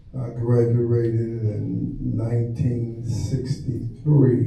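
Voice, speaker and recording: A man is talking with noticeable background noise. Audible room echo surrounds his voice. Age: 80s+. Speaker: poet. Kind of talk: spoken word performance. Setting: stage with audience.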